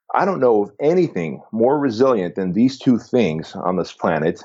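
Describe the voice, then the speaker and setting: A man with an American accent uses a plain, everyday voice of medium pitch, speaking at a moderate pace with lively intonation. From southern California, immigrant who arrived age six. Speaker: fitness business founder. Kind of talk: podcast interview.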